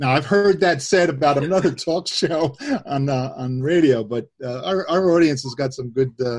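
At a moderate pace, a man speaks in a fairly high, somewhat breathy voice, with ordinary pitch variation and big swings in loudness. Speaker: webcast host. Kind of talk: casual online Bible discussion. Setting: online webcast with remote participants.

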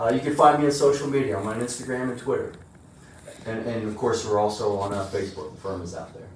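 Heard with audible room echo, a man with an American accent speaks at a very fast pace and medium pitch, with ordinary pitch variation and big swings in loudness. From eastern Pennsylvania, Easton. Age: 50s. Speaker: accountant. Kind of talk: casual interview.

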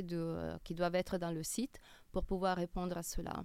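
A woman's medium-pitched voice with an Italian accent, at a moderate pace. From Italy, Milan. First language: Italian (speaking French). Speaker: e-commerce customer experience director. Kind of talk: interview. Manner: hesitant.

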